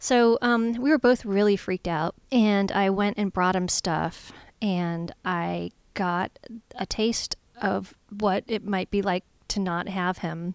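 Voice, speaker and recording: Very slowly, a woman speaks. The recording is very clean, with a silent background, and the sound is dry and close with no echo. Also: medium pitch for a woman, ordinary pitch variation. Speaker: podcast co-host and comedy performer. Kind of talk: casual chat.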